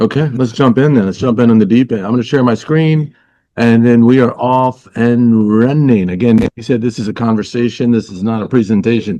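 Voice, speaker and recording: A man's medium-pitched voice, dark and mellow in tone, at a fairly quick pace against a quiet background. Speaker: motivational speaker. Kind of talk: interactive webinar presentation. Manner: fast; energetic.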